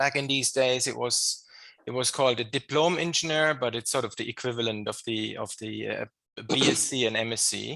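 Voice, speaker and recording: A man talks at a fairly quick pace with a German accent. There is vocal fry in his voice. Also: medium pitch for a man. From Germany. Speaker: engineering professor. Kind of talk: podcast interview. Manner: hesitant, many fillers and repetitions.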